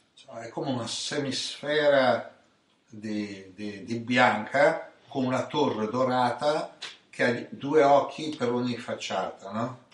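Audible room echo around a man's speech, its pitch varying in an ordinary way. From Italy, Ancona (Marche). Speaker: spiritual teacher. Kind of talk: storytelling chat.

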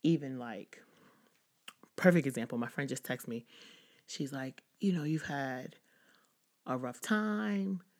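A woman with a very deep, low pitch speaks in an animated tone with lively intonation. Her pace is fairly slow, with long, frequent pauses. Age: 30s. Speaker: podcast host, social worker. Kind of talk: casual solo talk.

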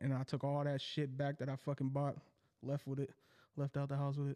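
A man speaks very fast in a fairly high voice with a dark, mellow tone. The recording is very clean, with a silent background. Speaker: podcast co-host. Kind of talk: casual chat.

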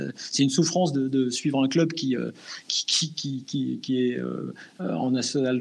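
Delivered very slowly, the speech shows ordinary pitch variation. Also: man. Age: 50s. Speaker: sports journalist. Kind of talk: casual interview.

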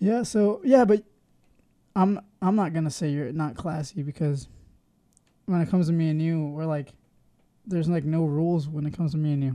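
A man mumbles at a fairly quick pace in a dark, mellow tone, his fairly high pitch moving with ordinary variation. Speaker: podcast co-host. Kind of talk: casual chat. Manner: mumbling.

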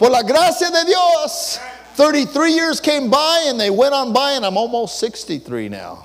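Over noticeable background noise and audible room echo, a man with an American accent speaks at a fairly slow pace in an extremely high voice with a warm tone. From US West, East Los Angeles. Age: 60s. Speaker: pastor. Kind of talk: bilingual Sunday sermon, personal testimony switching English and Spanish line by line. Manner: warm, conversational code-switching with chuckles; fervent, rising preacher cadence with stuttered repeats.

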